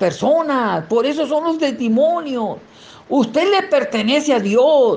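A man at a fairly slow pace with very wide pitch swings, audible room echo and noticeable background noise. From Mexico, Sinaloa (rural sierra). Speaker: lay preacher giving testimony. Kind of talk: testimony and sermon.

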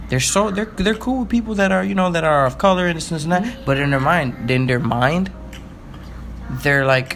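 Over noticeable background noise, a man talks in an animated tone at a fairly high pitch, his voice swinging very widely in pitch at a moderate pace. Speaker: podcast co-host. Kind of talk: casual banter chat. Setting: recording at home. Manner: animated, joking, rambling.

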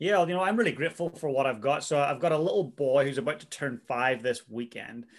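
A man talks at a very fast pace with hardly any pauses. His voice is fairly high, with lively intonation. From Northern Ireland. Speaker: drummer and coach. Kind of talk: interview.

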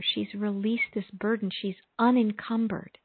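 A woman with an unremarkable speaking voice. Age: 50s. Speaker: prayer radio host, spiritual minister. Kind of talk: call-in conversation; guided prayer and meditation. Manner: slow, soothing.

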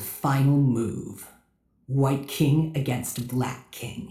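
Put-on character voice from a man at medium pitch, very slow pace, fairly even intonation and slight echo. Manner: dramatic, emo, brooding.

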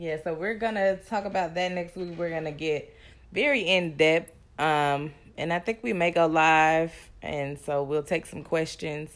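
In a very clean recording with a silent background, a woman with a plain, everyday voice speaks at a fairly low pitch and a fairly slow pace, with ordinary pitch variation. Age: 20s. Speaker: podcast co-host. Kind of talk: casual chat.

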